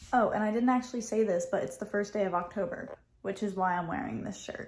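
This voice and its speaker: The woman talks at a very fast pace, somewhat breathy, with ordinary pitch variation. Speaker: lifestyle vlogger. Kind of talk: casual vlog talk to camera. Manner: casual with many fillers.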